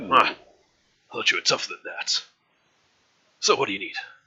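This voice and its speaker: Using a raspy, put-on character voice, a man talks at a fairly quick pace in an extremely high pitch. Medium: actual play. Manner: gruff, blunt.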